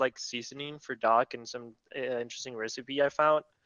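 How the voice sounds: With a bright, sharp yet clear, smooth tone, a man at medium pitch speaks at a moderate pace with fairly even intonation, the sound dry and close with no echo.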